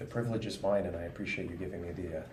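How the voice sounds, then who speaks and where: A man talks at a very fast pace with fairly low pitch and ordinary pitch variation. Room echo is audible. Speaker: police detective. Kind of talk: interview. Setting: coffee shop.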